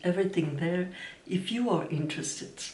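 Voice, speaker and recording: The voice carries a Dutch accent over noticeable background noise. Audible room echo surrounds it. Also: woman. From Belgium. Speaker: knitting vlogger. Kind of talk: casual vlog talk. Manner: halting.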